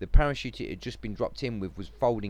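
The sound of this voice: The pitch rises and falls in an ordinary way. It is an unforced reading voice throughout.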